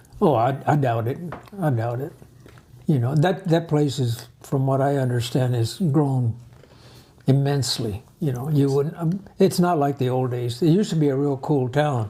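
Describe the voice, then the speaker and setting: A man speaks at a moderate pace with fairly high pitch and ordinary pitch variation. His tone is dark and mellow, and somewhat breathy. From Arizona, raised in farm-worker family, later California. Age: 80s+. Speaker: grandfather interviewed about family history. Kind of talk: casual family interview. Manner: halting, with repetitions.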